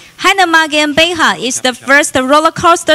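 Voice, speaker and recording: This woman uses a raised, projected voice at a moderate pace, her pitch varying in an ordinary way. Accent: Chinese. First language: Mandarin Chinese. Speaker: event host. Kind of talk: formal introduction.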